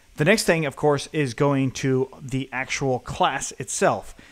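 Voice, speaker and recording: Speaking at a fairly slow pace, a man with an unremarkable speaking voice and fairly high pitch is heard on a very clean recording with a silent background. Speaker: programming instructor. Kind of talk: tutorial. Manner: casual.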